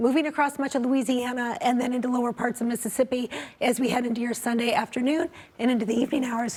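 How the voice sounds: Putting on a character voice, a woman talks at a very fast pace with a high pitch, a croaky, raspy sound and fairly even intonation.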